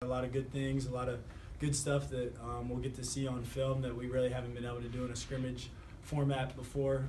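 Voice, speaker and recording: Over noticeable background noise, a man speaks at a fairly quick pace in a flat monotone with medium pitch. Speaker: college football quarterback. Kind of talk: interview answer.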